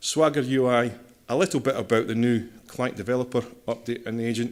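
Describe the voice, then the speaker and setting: With a Scottish accent, a man talks at a fairly quick pace, medium pitch and fairly even intonation. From Scotland. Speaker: systems engineer, conference speaker. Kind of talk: technical conference talk.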